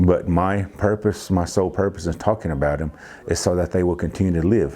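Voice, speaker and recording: A man with an American accent and a very deep, low voice speaks at a moderate pace with fairly even intonation, over noticeable background noise. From Cherokee community, US. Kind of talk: interview testimony.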